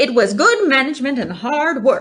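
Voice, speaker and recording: A woman speaks in a put-on character voice with a high pitch. Her pace is moderate. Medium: read story. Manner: repeats words, bows shamelessly.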